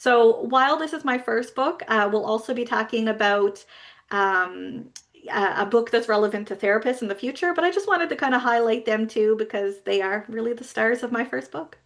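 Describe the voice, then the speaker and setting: With a slight Newfoundland accent, a woman speaks at a fairly high pitch and a fairly quick pace, using ordinary pitch variation. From Newfoundland, Canada. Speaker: business coach for therapists. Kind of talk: webinar presentation.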